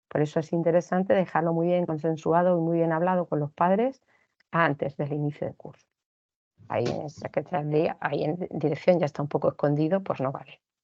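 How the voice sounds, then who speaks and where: With an unremarkable speaking voice, a woman talks at a fairly quick pace, her fairly low pitch showing ordinary pitch variation. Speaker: teacher giving a training talk to teachers. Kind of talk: online lecture / training talk. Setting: recorded online session.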